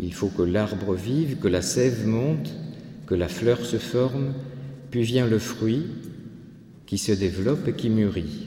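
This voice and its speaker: Very slowly and with long, frequent pauses, a man speaks with lively intonation amid noticeable background noise and audible room echo. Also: medium pitch for a man. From France, Landes. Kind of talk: lecture. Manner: halting.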